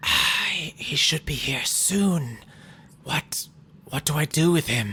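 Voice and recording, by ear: Putting on a raspy character voice, the speaker talks at a fairly slow pace in a middle pitch.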